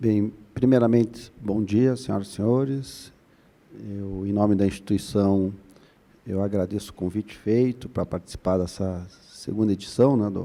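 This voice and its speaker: With fairly even intonation, this man speaks in a dark, mellow tone. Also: fairly low pitch for a man, moderate pace. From Curitiba, Paraná, southern Brazil. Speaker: labor prosecutor, conference panelist. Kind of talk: conference panel talk. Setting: conference stage with audience. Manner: hesitant, many fillers.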